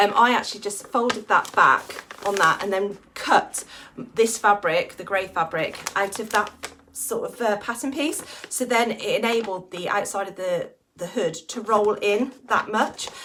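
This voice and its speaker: There is noticeable background noise. A woman speaks at a fairly slow pace with a fairly high pitch. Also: ordinary pitch variation. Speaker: sewing vlogger. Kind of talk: casual tutorial-style vlog. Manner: stuttering, hesitant today.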